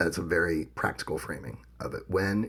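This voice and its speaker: A man talks in a somewhat breathy voice. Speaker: podcast co-host. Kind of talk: casual podcast discussion.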